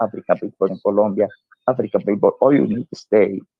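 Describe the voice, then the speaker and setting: A man with a Spanish accent speaks at a fairly low pitch. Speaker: diplomat and author. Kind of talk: interview. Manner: halting.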